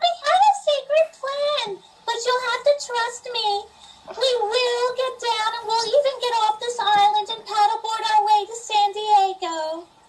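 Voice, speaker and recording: Putting on a character voice, a woman squeaks at an extremely high pitch and a fairly slow pace. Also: ordinary pitch variation. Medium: stage play. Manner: stilted, oddly formal.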